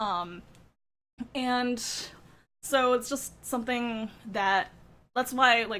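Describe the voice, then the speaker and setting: In a very clean recording with a silent background, a woman with a high, bright, sharp voice sounds excited and animated, with ordinary pitch variation and long, frequent pauses. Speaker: gaming content creator. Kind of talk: reaction video commentary. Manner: fast; excited, animated.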